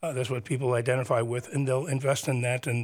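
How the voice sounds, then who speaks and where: Very fast, somewhat breathy speech from a man at a medium pitch, with fairly even intonation. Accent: American. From New Jersey (Teaneck, Bergen County). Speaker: urban planner and arts center event manager. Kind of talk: radio interview. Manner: halting, many fillers.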